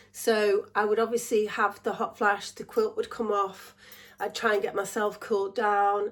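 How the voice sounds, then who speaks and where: Speaking with an English accent, a woman uses a fairly high pitch and a monotone, flat intonation at a fairly quick pace. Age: 60s. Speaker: vlogger. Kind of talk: casual chat.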